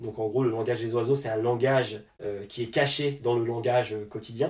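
At a fairly quick pace, a man of medium pitch speaks somewhat breathily with fairly even intonation on a very clean recording with a silent background. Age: 30s. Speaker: dance school director and energy therapist. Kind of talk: casual interview.

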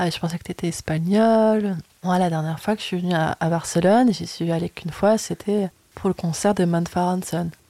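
Heard in a dry, close sound with no echo, a woman with a dark, mellow tone and medium pitch speaks at a moderate pace. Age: 20s. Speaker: podcast guest sharing intimate experiences. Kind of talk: personal testimony in casual interview. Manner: animated, frequent laughter.

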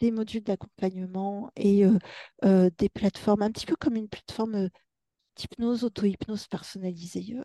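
A woman talks at a moderate pace with a medium pitch and fairly even intonation. Her dark, mellow tone comes through with a dry, close sound and no echo. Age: 40s. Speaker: hypnotherapist. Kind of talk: interview.

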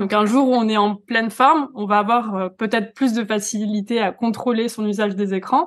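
A woman talks at a moderate pace with hardly any pauses, in a fairly high pitch. She has a normal speaking voice. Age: 20s. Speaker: digital wellbeing coach. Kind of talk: podcast interview.

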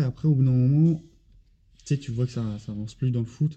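Somewhat breathy and dark, mellow in tone, a man talks at a fairly quick pace with fairly even intonation. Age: 20s. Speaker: fitness coach and bodybuilder. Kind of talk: casual chat. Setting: gym.

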